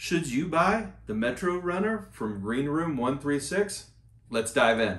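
The room echo is audible. A man talks at a fairly slow pace. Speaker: bag reviewer. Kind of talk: product review walkthrough. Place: home room.

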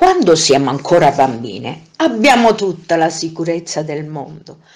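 Music in the background behind a woman's fairly low voice, fairly slow in pace, with lively intonation and big swings in loudness. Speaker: narrator. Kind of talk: motivational monologue.

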